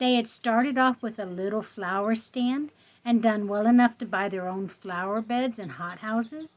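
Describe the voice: What's heard here is plain reading aloud.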